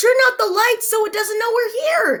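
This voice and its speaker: In a squeaky, put-on character voice, a woman talks with an extremely high pitch. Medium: read story. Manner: alarmed, fretful.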